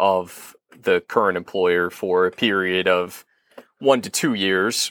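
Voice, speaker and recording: A plain, everyday voice comes from a man speaking at a fairly low pitch and fairly slow pace, on a very clean recording with a silent background and a dry, close sound with no echo. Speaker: appellate attorney. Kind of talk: interview.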